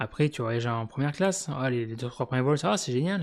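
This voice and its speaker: A man at a medium pitch with ordinary pitch variation and a very fast pace, on a very clean recording with a silent background. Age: 40s. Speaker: YouTuber. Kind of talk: casual monologue. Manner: hesitant, many fillers.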